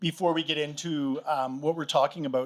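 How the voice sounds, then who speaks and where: The speaker is a man with a Canadian accent. He talks loud. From Canada. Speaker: panel moderator. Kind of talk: live panel moderation. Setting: stage with audience. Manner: loud, projecting.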